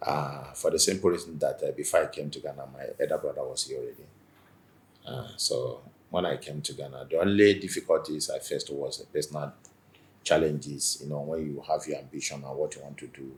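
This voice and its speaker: A man speaks with a Nigerian accent at a fairly quick pace. His loudness swings widely from moment to moment. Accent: Nigerian Igbo English. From Nigeria, Igbo. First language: Igbo. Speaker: businessman and community association leader. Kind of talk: interview.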